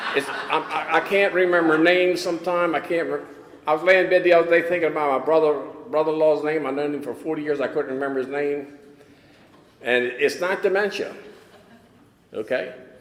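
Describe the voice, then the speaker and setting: Over noticeable background noise, a man talks fairly quickly at a fairly high pitch with fairly even intonation and long, frequent pauses. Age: 80s+. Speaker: recovery speaker. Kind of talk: testimony. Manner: halting.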